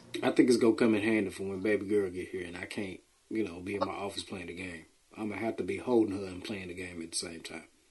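Somewhat breathy and fairly low-pitched, a man speaks at a very fast pace with fairly even intonation and big swings in loudness. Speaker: podcast host. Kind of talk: casual chat.

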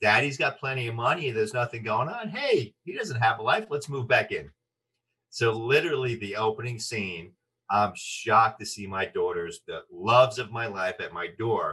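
An animated man at a moderate pace, with big swings in loudness. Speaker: actor and voice artist. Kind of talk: interview.

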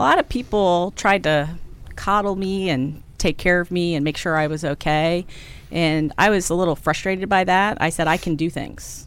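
A woman with an American accent uses a plain, everyday voice at a fairly low pitch, with ordinary pitch variation and a moderate pace. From Maryland, US. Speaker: consulting firm CEO. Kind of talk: interview.

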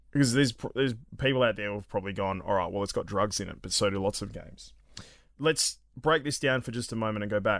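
A man with an Australian accent at a very fast pace, ordinary pitch variation, on a very clean recording with a silent background. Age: 30s. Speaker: gaming podcast host. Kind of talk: casual chat.

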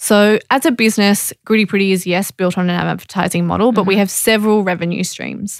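A woman with an Australian accent talks at a very fast pace, with hardly any pauses. Her pitch is medium and her intonation fairly even. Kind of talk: interview.

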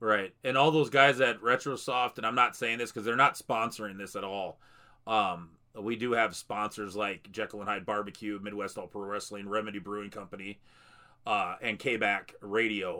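At a moderate pace, a man with a fairly low pitch speaks in a bright, sharp tone with fairly even intonation. The recording is very clean with a silent background. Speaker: wrestling podcast host. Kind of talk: casual interview. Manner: filler-heavy, halting.

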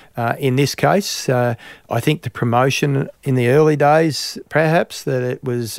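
Medium pitch from a man with an Australian accent. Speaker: farmer and industry body chair. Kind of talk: interview. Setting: studio in Melbourne.

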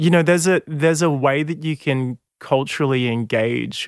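In a very clean recording with a silent background and a dry, close sound with no echo, a man with an Australian accent speaks at a moderate pace, his fairly high voice showing ordinary pitch variation. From Sydney northern beaches, Australia. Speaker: singer and musician. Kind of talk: interview.

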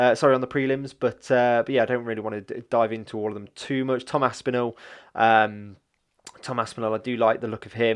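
A man with an East Midlands accent talks at a fairly quick pace. His intonation is monotone and flat. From English Midlands, Leicester. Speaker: MMA podcast host. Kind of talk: solo podcast monologue. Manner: hesitant, many fillers.

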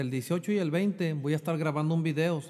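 This man's voice sits high in pitch and keeps a moderate pace. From Mexico (Jalisco). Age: 30s. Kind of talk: casual interview, personal testimony.

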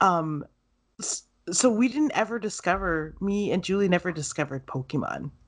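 Against a quiet background, a woman with a plain, everyday voice speaks at a medium pitch. Her pace is moderate and her intonation lively. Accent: Canadian. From Canada, farming town. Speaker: podcast host. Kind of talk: casual chat.

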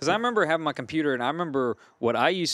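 A man's voice with a slight Cajun accent, ordinary pitch variation, and a dry, close sound with no echo. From Louisiana, Gonzales. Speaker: band vocalist. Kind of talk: casual chat.

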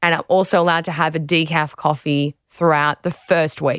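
A woman speaks with an Australian accent at a moderate pace. Her fairly low voice has ordinary pitch variation and a dry, close sound with no echo. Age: 20s. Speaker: podcast host, former athlete. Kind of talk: casual chat and narrated diary. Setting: studio.

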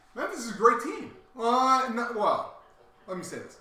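Raised, projected voice of a man at a moderate pace, with audible room echo and noticeable background noise. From Delaware, near Philadelphia. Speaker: sports podcast co-host. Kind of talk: casual chat. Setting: live show.

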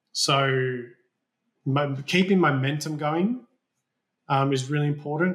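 There is an Australian accent in this man's voice, and his speed is moderate. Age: 30s. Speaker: building designer and owner builder. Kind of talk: interview. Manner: casual, hesitant with fillers.

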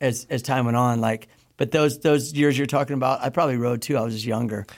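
A man speaks in a normal speaking voice with an American accent. His pitch is medium, his pace fairly quick and his intonation fairly even. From US Midwest. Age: 50s. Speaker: pro BMX rider. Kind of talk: casual chat. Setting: studio.

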